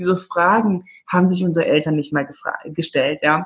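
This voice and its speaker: A woman's fairly low, somewhat breathy voice at a moderate pace. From Namibia (Windhoek, German-Namibian community). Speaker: former film actress, personal development coach. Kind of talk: casual interview chat.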